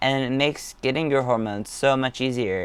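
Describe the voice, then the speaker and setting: Here a man talks at a moderate pace. His voice sits at a medium pitch. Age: 20s. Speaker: vlogger. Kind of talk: casual vlog monologue. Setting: home studio set. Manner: halting, with fillers; stutters at times.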